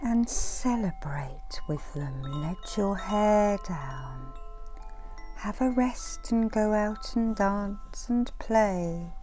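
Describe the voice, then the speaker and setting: Soft-spoken and very slow, a woman with a fairly high pitch and very wide pitch swings talks over music in the background. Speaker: reiki master and meditation guide. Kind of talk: inspirational affirmations. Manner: soft, murmured.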